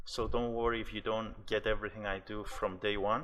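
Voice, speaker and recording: A man talks in a normal speaking voice. His pace is moderate and his intonation fairly even. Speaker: day trader. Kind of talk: tutorial.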